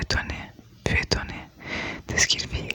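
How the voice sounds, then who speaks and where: Noticeable background noise surrounds a whisper delivered at a moderate pace. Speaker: ASMR creator. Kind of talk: ASMR book reading. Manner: whispered.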